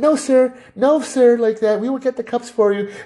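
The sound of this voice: A female-sounding voice in a put-on character voice speaks high and at a fairly slow pace.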